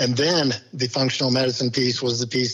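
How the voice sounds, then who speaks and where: Very fast talking from a man, noticeable background noise throughout. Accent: American. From Kansas City area, US Midwest. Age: 60s. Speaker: laboratory company executive. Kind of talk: podcast interview.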